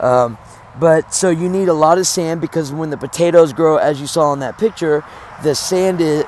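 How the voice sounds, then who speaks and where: A man talks at a moderate pace, fairly high in pitch and with fairly even intonation, while noticeable background noise plays behind him. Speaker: home gardener and homesteader. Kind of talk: casual video walkthrough. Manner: many fillers and hesitations.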